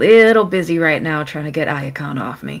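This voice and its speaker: A strained, put-on character voice at a middle pitch and moderate pace. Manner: strained, pressured.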